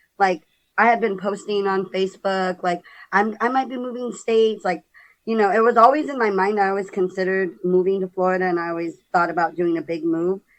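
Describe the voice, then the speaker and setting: A woman's fairly quick delivery with ordinary pitch variation. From San Diego, California. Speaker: podcast guest sharing life story. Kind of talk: casual interview.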